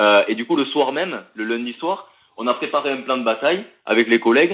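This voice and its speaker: This man speaks with a southern French accent and a lively intonation. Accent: southern French (Toulouse). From Toulouse, southern France. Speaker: union delegate, factory worker. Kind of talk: live interview. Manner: hesitant, many fillers.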